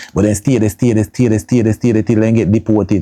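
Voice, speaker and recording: In a Jamaican accent, a man with a fairly low pitch and a dark, mellow tone speaks with fairly even intonation. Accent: Jamaican Patois-inflected English. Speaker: YouTube vlogger. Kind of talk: casual monologue commentary.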